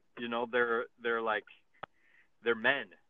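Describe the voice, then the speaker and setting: The speaker is a man with a medium pitch. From eastern Iowa, US Midwest. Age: 40s. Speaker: basketball coach. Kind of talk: casual chat.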